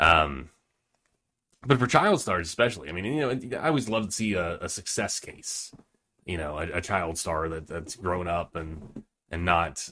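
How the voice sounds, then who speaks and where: On a very clean recording with a silent background, a man speaks in a nervous tone at a very deep, low pitch. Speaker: podcast host. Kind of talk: casual interview chat. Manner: nervous, laughs often.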